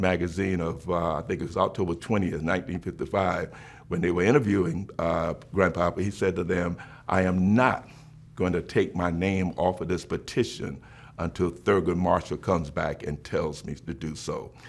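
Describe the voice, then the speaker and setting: A man with a South Carolina accent and a very deep, low pitch, at a moderate pace with fairly even intonation, on a very clean recording with a silent background. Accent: Southern US (South Carolina). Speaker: bishop. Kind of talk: interview answer.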